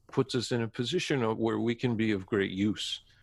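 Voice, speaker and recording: In an ordinary speaking voice, a man with a Canadian accent talks at a moderate pace, medium in pitch and fairly even in intonation. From Canada. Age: 50s. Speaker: actor and playwright. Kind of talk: interview conversation.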